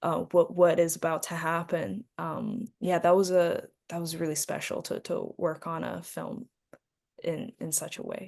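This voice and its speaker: A woman speaks at a fairly slow pace with a Chinese accent. Her loudness swings widely. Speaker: actress. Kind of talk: interview.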